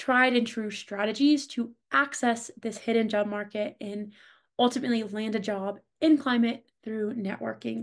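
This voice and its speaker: A woman with a fairly high pitch and an ordinary speaking voice. She talks at a moderate pace with fairly even intonation over a quiet background. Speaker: marketing lead hosting a career workshop. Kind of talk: online workshop presentation. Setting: video call.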